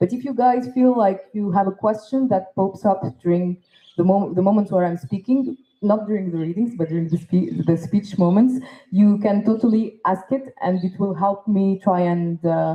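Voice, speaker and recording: Somewhat breathy, this woman's voice moves at a moderate pace with ordinary pitch variation. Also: medium pitch for a woman. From Tunisia. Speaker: poet and performer. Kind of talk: festival talk.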